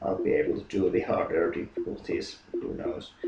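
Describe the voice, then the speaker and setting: There is noticeable background noise. A man speaks at a moderate pace with a Finnish accent. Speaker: gaming YouTuber. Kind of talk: casual monologue. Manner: halting, many fillers and repetitions.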